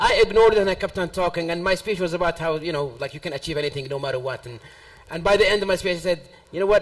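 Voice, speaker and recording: A man speaks at a very fast pace and high pitch. Noticeable background noise runs beneath him. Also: ordinary pitch variation. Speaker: world champion public speaker. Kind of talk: panel discussion.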